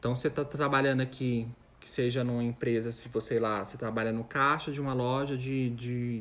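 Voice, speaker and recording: A man with a plain, everyday voice talks at a moderate pace and a medium pitch. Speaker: chef. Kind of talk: live stream Q&A. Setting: live stream with camera at home.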